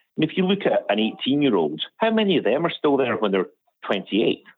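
A man with a Scottish accent talks at a very fast pace, his pitch swinging very widely. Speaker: charity director. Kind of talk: caller question. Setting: phone call.

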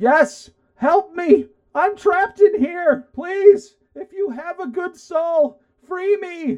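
An extremely high, squeaky put-on character voice at a very slow pace. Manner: pleading.

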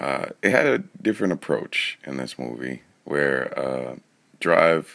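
A man speaks with a very deep, low pitch. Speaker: podcast guest reviewer.

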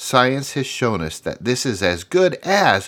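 A very slow, upbeat voice with vocal fry, in a very clean recording with a silent background. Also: man. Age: 50s. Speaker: career podcast host. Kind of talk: solo podcast monologue, motivational. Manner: upbeat, encouraging.

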